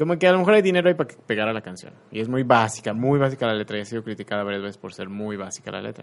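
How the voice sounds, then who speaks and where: A man talks at a very fast pace with hardly any pauses. His medium-pitched voice has lively intonation and big swings in loudness. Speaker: radio host. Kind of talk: casual chat.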